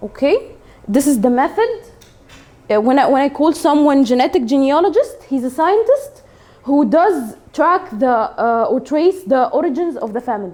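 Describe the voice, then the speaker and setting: The voice has an Arabic accent and a dark, mellow tone. It moves at a moderate pace with very wide pitch swings. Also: woman, high pitch for a woman. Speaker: English teacher. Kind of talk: classroom lesson. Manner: halting, many fillers.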